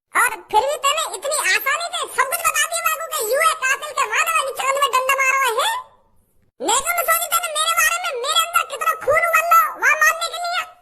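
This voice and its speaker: At a moderate pace, this cartoonish character voice sits at an extremely high pitch. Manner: loud, scolding.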